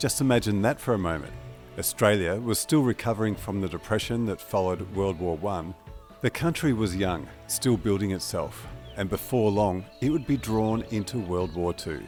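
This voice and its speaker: Over music in the background, a man with a fairly low pitch speaks at a moderate pace with lively intonation. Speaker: interviewer. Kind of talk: documentary narration.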